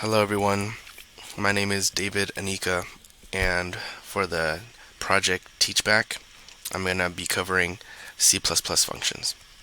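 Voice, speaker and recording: Over noticeable background noise, a man with a very deep, low pitch speaks in a monotone, flat way, leaving long, frequent pauses. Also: fairly slow pace. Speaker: computer science student. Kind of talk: tutorial. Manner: halting with pauses.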